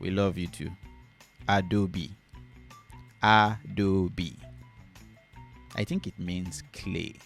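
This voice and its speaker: With music in the background, a man with a very deep, low pitch talks in fairly even intonation. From Nigeria. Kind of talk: casual talk to camera.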